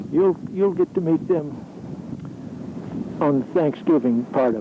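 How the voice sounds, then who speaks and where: A man talks fairly slowly with ordinary pitch variation, noticeable background noise present throughout. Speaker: amateur videographer, retired mill worker. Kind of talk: home video narration.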